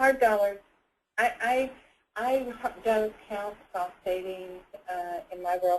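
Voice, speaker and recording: Speaking at a very slow pace with ordinary pitch variation, this voice shows big swings in loudness and long, frequent pauses. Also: woman, medium pitch for a woman. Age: 60s. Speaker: nurse and Lean Six Sigma student. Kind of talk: webinar panel discussion. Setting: webinar call.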